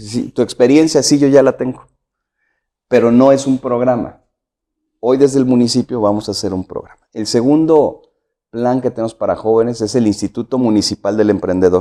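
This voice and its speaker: The man's voice sits at a medium pitch with a dark, mellow tone. His pace is moderate and his pitch variation ordinary. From Mexico, San Luis Potosí. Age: 50s. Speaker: political candidate. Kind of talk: interview.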